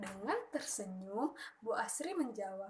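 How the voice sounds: A woman talks at a fairly slow pace and medium pitch, her intonation lively.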